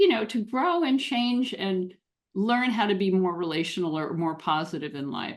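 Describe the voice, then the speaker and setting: With lively intonation and a normal speaking voice, a woman moves along at a moderate pace. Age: 60s. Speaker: relationship coach for neurodiverse couples. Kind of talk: podcast interview.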